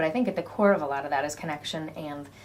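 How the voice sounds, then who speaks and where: A woman with a very deep, low pitch talks at a very fast pace. Audible room echo surrounds her voice. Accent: American. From United States. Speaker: community charity director. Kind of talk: interview. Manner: hesitant, many ums.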